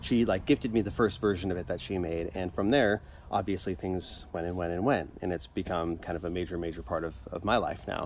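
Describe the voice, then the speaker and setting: Hardly pausing, a man with a very deep, low voice talks at a fairly quick pace with ordinary pitch variation, in a dry sound with no echo and light background noise. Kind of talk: casual vlog chat. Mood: relaxed, upbeat. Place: garden.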